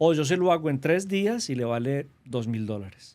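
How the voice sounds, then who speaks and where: In a paisa Colombian accent, a man talks at a moderate pace. His pitch swings very widely. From Colombia, Antioquia (paisa). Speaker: government trade representative. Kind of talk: interview.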